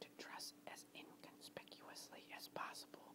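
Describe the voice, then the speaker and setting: Whispering amid noticeable background noise. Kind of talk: whispered story narration, history reading. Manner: whispered.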